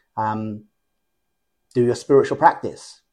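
Medium-pitched male speech at a moderate pace over a quiet background. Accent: English. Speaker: lucid dreaming teacher. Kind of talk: interview conversation. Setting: at home. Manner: animated.

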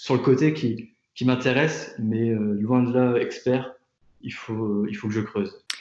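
This is a man with a medium-pitched voice. His intonation stays fairly even. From France, Tours. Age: 20s. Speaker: product designer. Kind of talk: interview. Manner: halting, many fillers and repetitions.

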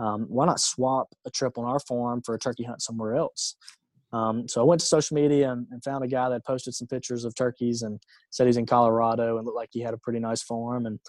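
Talking at a very fast pace with monotone, flat intonation, a man is captured with a dry, close sound with no echo. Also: medium pitch for a man. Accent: Alabama. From US South, rural Alabama. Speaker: entrepreneur. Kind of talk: interview.

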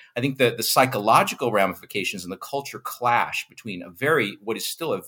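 With an American accent, a man talks at a fairly quick pace in a bright, sharp tone. The recording is very clean, with a silent background. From United States. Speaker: physics professor and tech entrepreneur. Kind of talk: interview.

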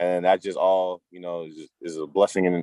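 Every line comes out monotone and flat. The voice carries an American accent. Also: man. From Massachusetts (Cambridge/Malden, Boston area). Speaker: football player, draft prospect. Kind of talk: casual interview chat.

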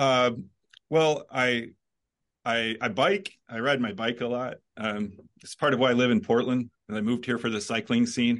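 At a moderate pace and medium pitch, a man talks with ordinary pitch variation in a normal speaking voice. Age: 50s. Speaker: philosophy professor. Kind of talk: casual chat.

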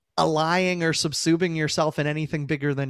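With a normal speaking voice, a man speaks at a fairly high pitch and with fairly even intonation in a dry, close recording with no echo, very clean and silent in the background. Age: 30s. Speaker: author. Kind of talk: interview.

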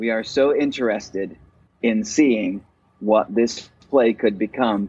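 A man talks at a medium pitch. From Virginia, US (Roanoke). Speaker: actor and playwright. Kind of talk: interview.

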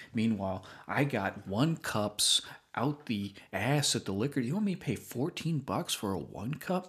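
A man's somewhat breathy voice at medium pitch, with very wide pitch swings, a fairly slow pace, and a very clean recording with a silent background. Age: 30s. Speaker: podcast host. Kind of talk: casual chat.

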